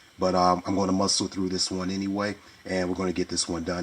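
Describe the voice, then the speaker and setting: Over noticeable background noise, a man talks at a very fast pace in a very deep, low voice. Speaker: toy reviewer. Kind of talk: casual video review. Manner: hesitant, many fillers.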